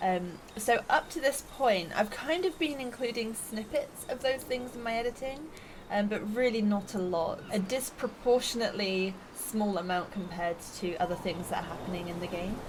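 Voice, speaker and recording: Over noticeable background noise, a woman with a fairly high pitch talks at a moderate pace with lively intonation. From UK. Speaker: gaming YouTuber. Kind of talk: casual gameplay commentary. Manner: relaxed, chill.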